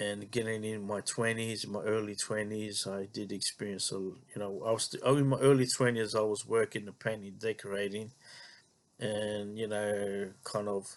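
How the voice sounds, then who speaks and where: In a quiet background, a man with a fairly low pitch speaks at a moderate pace in a flat, monotone way. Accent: Australian. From Australia, Melbourne western suburbs. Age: 40s. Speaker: vlogger. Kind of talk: personal monologue. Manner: halting, many fillers and repetitions.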